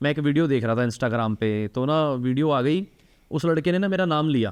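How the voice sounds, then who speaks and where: Here a man speaks at a fairly high pitch with lively intonation. His loudness stays very even. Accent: Punjabi. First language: Punjabi (speaking Hindi). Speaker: talk show host and charity founder. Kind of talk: casual interview conversation.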